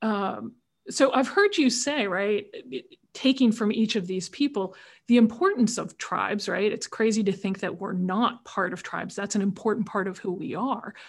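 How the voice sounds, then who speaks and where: This woman talks at a moderate pace with a fairly high pitch. Her voice is somewhat breathy, and its pitch varies in an ordinary way. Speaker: podcast host. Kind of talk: interview moderation. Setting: video call.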